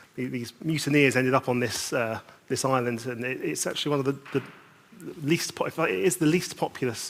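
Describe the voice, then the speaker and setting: A man's medium-pitched voice in a British accent, fairly quick, with ordinary pitch variation. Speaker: conference speaker. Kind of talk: conference panel talk. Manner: halting.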